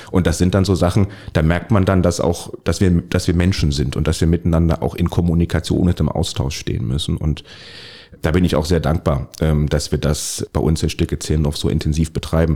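A man's very deep, low voice with vocal fry, fairly quick, fairly even in intonation and very even in loudness. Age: 40s. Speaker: local politician. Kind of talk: interview. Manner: hesitant, many fillers.

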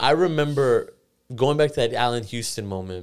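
At a moderate pace, a man with an ordinary speaking voice and ordinary pitch variation talks in a very clean recording with a silent background. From US, Iranian immigrant family. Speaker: podcast guest, sports business worker. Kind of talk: casual chat. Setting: studio.

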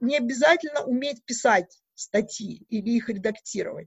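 Lively intonation at a fairly slow pace. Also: woman. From Belarus, Mogilev region. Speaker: Wikipedia editor, university researcher. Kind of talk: interview.

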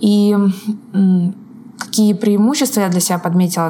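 Over noticeable background noise, a woman of medium pitch talks fairly slowly with fairly even intonation. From northern Russia, Arkhangelsk region. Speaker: online course instructional designer. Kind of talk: podcast interview. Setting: call between Moscow and Seattle.

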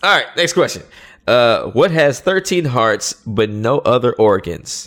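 A man with an ordinary speaking voice and lively intonation, on a very clean recording with a silent background. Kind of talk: radio DJ patter: mock-radio station ID, plugging email, teasing a segment before a break. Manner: upbeat, playful and punchy, drawling 'yo' greetings, laughing between lines.

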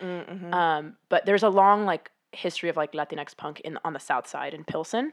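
A woman with an American accent has an ordinary speaking voice, fairly low in pitch with ordinary pitch variation. She talks at a moderate pace over a quiet background. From US Midwest, Chicago. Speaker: music editor. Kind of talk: casual chat.

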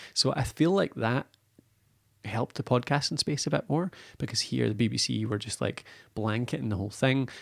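A man talks at a fairly quick pace with lively intonation, medium pitch and vocal fry. The recording is very clean with a silent background, and the sound is dry and close with no echo. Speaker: podcasting expert and business owner. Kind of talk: casual chat.

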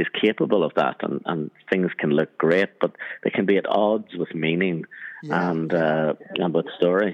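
A man with a Northern Irish accent speaks at a moderate pace. His very deep, low voice keeps a fairly even intonation. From Northern Ireland, Armagh. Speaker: cinematographer. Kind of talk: interview.

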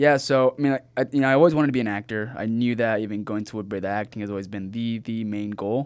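A man with a Californian accent speaks at a very fast pace with hardly any pauses. His medium pitch shows ordinary variation on a very clean recording with a silent background. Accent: Californian American English. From Southern California (Rancho Cucamonga). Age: 20s. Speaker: actor and filmmaker. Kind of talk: casual interview. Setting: studio.

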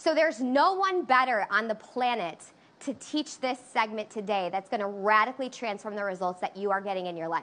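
A woman has an ordinary speaking voice at a fairly high pitch. Her intonation is lively, and her pace moderate. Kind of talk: pep talk. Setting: online livestream. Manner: hyped, call-and-response, shouting.

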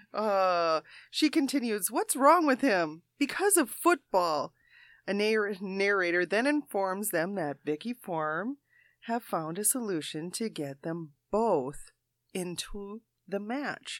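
Very slow woman's speech at medium pitch with very wide pitch swings, in a very clean recording with a silent background and a dry, close sound with no echo. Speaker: quiz show panelist. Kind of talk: casual comedic banter. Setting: studio.

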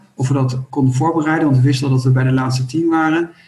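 A somewhat breathy voice at a fairly quick pace. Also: man. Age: 50s. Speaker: company co-founder. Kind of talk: interview.

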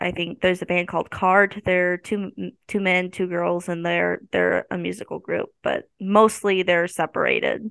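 The speaker has a Midwestern American accent and talks at a moderate pace. There are hardly any pauses. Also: woman. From US Midwest, northwest Missouri. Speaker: college student. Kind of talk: casual interview.

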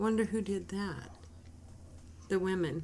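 This is a woman speaking. Her pace is fairly slow. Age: 50s. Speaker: Bible study podcast co-host. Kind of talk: casual Bible study chat.

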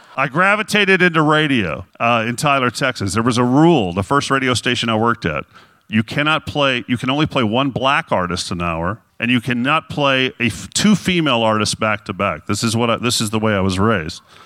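A man with a normal speaking voice, medium in pitch, lively intonation, fairly quick pace, dry and close with no echo, on a very clean recording with a silent background. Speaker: radio shock jock. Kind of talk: storytelling monologue.

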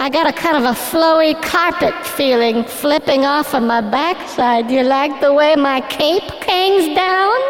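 A put-on character voice moves at a fairly slow pace. Clear echo and clear background noise surround it. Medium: audio drama. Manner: pompous, rambling.

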